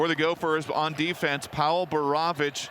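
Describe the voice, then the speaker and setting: A man's fairly high, monotone voice with flat intonation comes through noticeable background noise. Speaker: radio play-by-play announcer. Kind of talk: live sports radio play-by-play.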